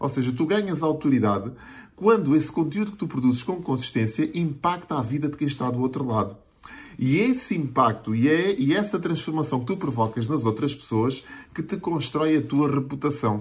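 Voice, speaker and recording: A man with a fairly high voice and a European Portuguese accent, somewhat breathy, at a moderate pace with lively intonation. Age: 40s. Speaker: digital marketing coach. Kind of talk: video monologue tutorial.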